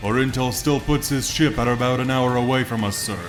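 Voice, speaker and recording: Over loud background noise, a man puts on a character voice at medium pitch and a fairly quick pace. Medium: read story.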